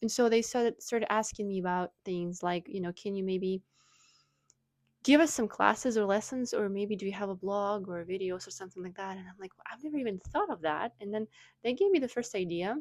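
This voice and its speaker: Talking at a fairly quick pace in a Russian accent, a woman shows ordinary pitch variation on a very clean recording with a silent background. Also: medium pitch for a woman, big swings in loudness. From Russia (Moscow). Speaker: wellness blogger. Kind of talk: casual vlog talk. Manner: hesitant, many fillers.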